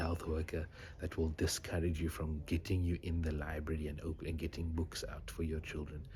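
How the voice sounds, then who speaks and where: A man whispers at a moderate pace. His voice is somewhat breathy. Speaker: doctor. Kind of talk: vlog. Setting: library. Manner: whispering.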